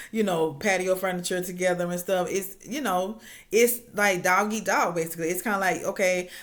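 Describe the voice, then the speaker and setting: This woman has an ordinary speaking voice, talking at a moderate pace with a medium pitch. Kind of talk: casual reality TV recap talk to camera. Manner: chatty, informal.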